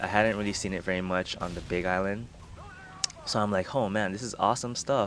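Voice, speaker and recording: Against noticeable background noise, a man with a fairly low pitch talks in a fairly even intonation. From Hawaii. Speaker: gaming video creator. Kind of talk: casual vlog storytelling. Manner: casual, with many fillers.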